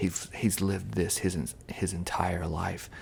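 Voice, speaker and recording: A man is whispering. His pace is very slow. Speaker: ASMR creator. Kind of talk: casual talk to camera. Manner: soft-spoken.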